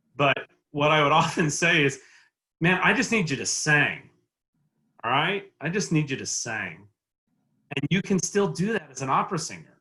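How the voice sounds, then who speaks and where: Using a Texan accent, a man with fairly high pitch speaks at a moderate pace with lively intonation and long, frequent pauses. His tone is bright and sharp, edged with vocal fry. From Texas. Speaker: opera agent. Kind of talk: panel discussion.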